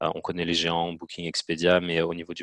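The sound is dry and close, with no echo. A man speaks in a very deep, low pitch. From Belgium, Namur province. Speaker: marketing specialist. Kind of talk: interview. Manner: hesitant, many fillers.

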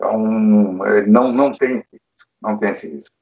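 Here a man speaks at a medium pitch with ordinary pitch variation. His pace is fairly slow. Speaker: pediatric intensive care doctor. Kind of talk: interview panel discussion. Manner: hesitant with filler sounds.

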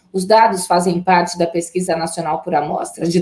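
A woman speaks with a fairly low pitch and a dark, mellow tone. Her voice is somewhat breathy. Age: 40s. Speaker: journalist, news co-anchor. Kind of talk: news reading.

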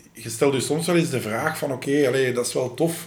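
At a moderate pace, the voice comes through with audible room echo and noticeable background noise. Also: man. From Flanders, Belgium (Lennik, Flemish Brabant). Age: 30s. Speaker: reality TV contestant. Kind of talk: casual chat.

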